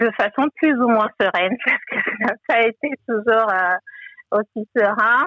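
A woman speaks with ordinary pitch variation. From Togo. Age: 30s. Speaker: financial adviser and online bookshop founder. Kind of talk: interview testimony. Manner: hesitant, many fillers.

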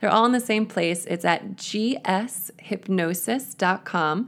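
The speaker is a woman with a normal speaking voice. The recording is very clean, with a silent background. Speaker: hypnotherapist and author. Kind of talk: guided hypnosis, relaxation script; interview. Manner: slow, soothing, calm, gentle, hypnotic pacing.

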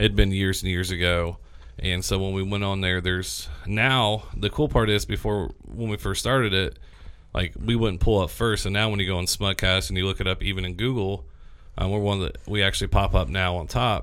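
A man talks in a normal speaking voice at a fairly low pitch. He keeps a fairly quick pace with ordinary pitch variation. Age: 30s. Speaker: podcast host. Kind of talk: casual chat. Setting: studio.

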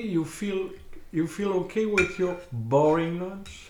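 A man with a French accent talks at a very slow pace. Room echo is audible around him. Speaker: host's partner. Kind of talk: casual chat. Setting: dinner table at home.

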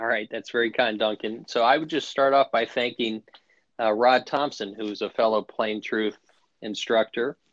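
Heard dry and close with no echo, a man has an unremarkable speaking voice at a medium pitch, with fairly even intonation and a moderate pace. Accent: American. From US, Washington DC area. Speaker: golf instructor. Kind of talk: interview.

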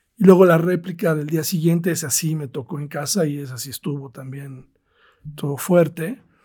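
Dark and mellow in tone, a man's voice sits at a fairly high pitch with ordinary pitch variation and big swings in loudness. He keeps a moderate pace on a very clean recording with a silent background. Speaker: tennis tournament promoter. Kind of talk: interview.

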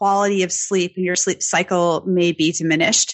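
The speaker is a woman with an unremarkable speaking voice. She keeps a moderate pace and ordinary pitch variation. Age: 30s. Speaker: nutritionist and weightlifting coach. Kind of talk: interview.

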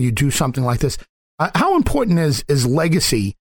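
Speaking at a fairly quick pace, a man with a fairly high pitch has a plain, everyday voice. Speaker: radio host. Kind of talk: interview.

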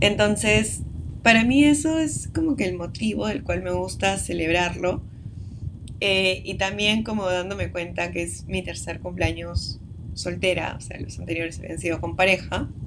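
Against noticeable background noise and audible room echo, a woman speaks at a fairly slow pace. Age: 20s. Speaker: podcast host. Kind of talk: casual monologue. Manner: hesitant with fillers.

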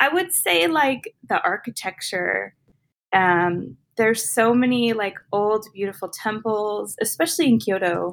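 A woman speaks in a plain, everyday voice, fairly high in pitch. Her intonation is lively and her pace fairly slow. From US Southwest, Arizona. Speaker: fantasy author and teacher. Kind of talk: casual interview chat.

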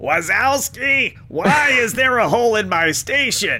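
Over light background noise, a man puts on a character voice at an extremely high pitch, speaking at a fairly slow pace.

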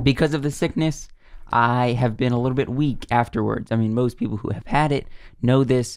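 Speaking with an American accent, a man with a plain, everyday voice uses a medium pitch and ordinary pitch variation. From US South. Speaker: podcast co-host. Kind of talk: casual chat.

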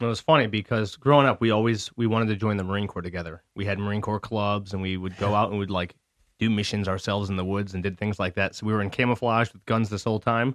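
Against a silent background on a very clean recording, a man with an American accent and a fairly low pitch talks at a very fast pace with fairly even intonation. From Michigan, US. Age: 30s. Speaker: metal musician, Marine veteran, studio owner. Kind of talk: casual interview.

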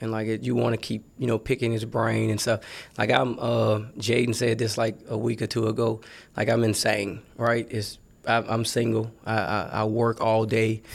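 With vocal fry, a man speaks in a monotone, flat way. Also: medium pitch for a man, moderate pace. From New Orleans, Louisiana. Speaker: college football recruiting staffer. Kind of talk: casual interview. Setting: studio.

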